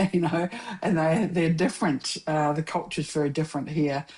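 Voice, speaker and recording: In a New Zealand accent, a woman speaks with a very deep, low pitch and fairly even intonation. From New Zealand, South Island (Dunedin). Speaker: filmmaker and mentor. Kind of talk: casual chat. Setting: podcast interview.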